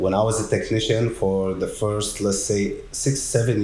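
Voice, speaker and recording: A man speaks at a fairly slow pace with a non-native accent, his voice somewhat breathy and fairly low-pitched. The tone is dark and mellow, with audible room echo. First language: not English. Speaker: technician manager at a garage door company. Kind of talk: casual podcast conversation.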